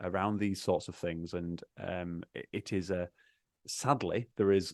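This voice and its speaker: Very deep and low, a man's voice carries a Yorkshire accent at a fairly slow pace with fairly even intonation in a dry, close sound with no echo. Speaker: accountant advising churches on finance. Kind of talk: casual podcast interview. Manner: halting, many repeated words.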